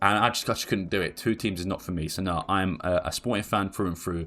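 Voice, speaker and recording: A man speaks very fast in a flat monotone, his pitch very deep and low. His tone is bright and sharp, on a very clean recording with a silent background. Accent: English. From England. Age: 20s. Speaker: football YouTuber. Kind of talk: casual Q&A video monologue. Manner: casual, with fillers and repetitions.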